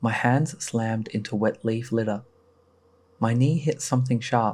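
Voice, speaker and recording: A man at medium pitch and moderate pace, with fairly even intonation, in a very clean recording with a silent background. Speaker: horror story narrator. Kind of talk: horror story narration.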